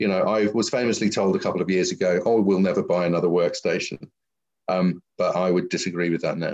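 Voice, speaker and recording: A man speaks very fast with a London accent. His loudness stays very even. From London, England. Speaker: visual effects company founder and CEO. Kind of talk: interview.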